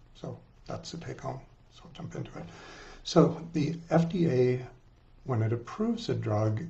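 A somewhat breathy man at a moderate pace. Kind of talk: lecture. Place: office. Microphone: webcam.

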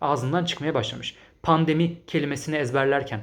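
A man speaks at a fairly quick pace in a fairly high voice, his tone animated and his pitch variation ordinary. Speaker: English teacher and language-learning youtuber. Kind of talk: solo video commentary reading viewer comments.

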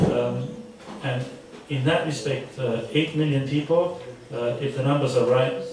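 Noticeable background noise and audible room echo surround a man speaking at a fairly slow pace. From Austria. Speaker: diplomat. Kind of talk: panel discussion. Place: meeting room.

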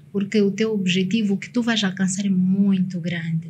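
Somewhat breathy speech comes at a moderate pace with ordinary pitch variation, against light background noise. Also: woman. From Mozambique, Nampula; Mozambique. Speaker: motivational consultant and speaker; speaker. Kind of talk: casual interview chat. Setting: studio. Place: studio. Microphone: studio mic.

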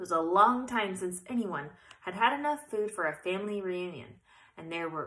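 The voice is natural while reading aloud.

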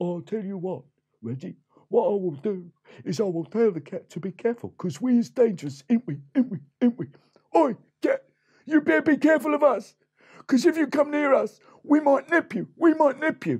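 A cartoonish character voice moving at a fairly quick pace. Long pauses break it up often. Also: man, extremely high pitch for a man. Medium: puppet show. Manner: boastful, chummy.

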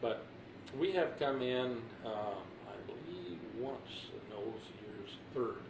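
With an American accent, a man speaks at a very slow pace with long, frequent pauses and big swings in loudness over noticeable background noise. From Texas, Bryan/College Station; Texas. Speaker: retired fighter pilot, war veteran. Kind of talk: oral history interview. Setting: at home. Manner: halting. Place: home room.

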